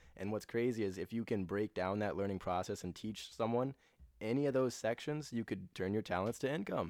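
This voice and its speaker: A man's unremarkable speaking voice, fairly low in pitch, at a fairly quick pace with ordinary pitch variation, in a very clean recording against a silent background. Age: 20s. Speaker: content creator. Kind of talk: casual chat.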